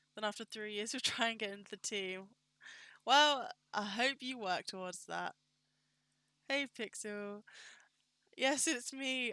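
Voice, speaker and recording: In an American accent, the bright, sharp tone carries lively intonation at a moderate pace, with a dry, close sound and no echo. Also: woman. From Britain. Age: 20s. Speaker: 3D modeler and streamer. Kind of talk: casual live-stream chat while working. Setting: live stream.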